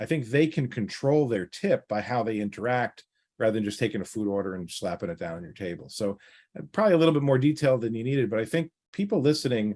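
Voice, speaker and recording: On a very clean recording with a silent background, a man speaks very fast at a medium pitch with lively intonation. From New York. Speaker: financial planner. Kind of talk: interview. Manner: direct.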